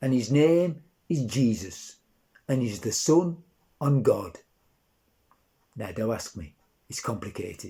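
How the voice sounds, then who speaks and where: Pausing long and often, a somewhat breathy man with a dark, mellow tone and medium pitch speaks fairly slowly, with very wide pitch swings and big swings in loudness. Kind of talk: dialect nativity story reading.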